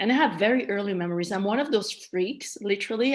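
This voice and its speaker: This woman has a medium-pitched voice with ordinary pitch variation and speaks with a Malagasy accent. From Madagascar, then France-Switzerland border. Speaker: trauma survivor, interviewee. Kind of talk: personal testimony in interview.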